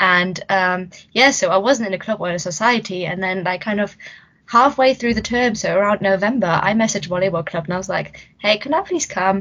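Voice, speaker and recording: In a German accent, a woman of medium pitch speaks at a fairly quick pace with ordinary pitch variation. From Germany. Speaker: podcast host, student union wellbeing officer. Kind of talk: casual chat.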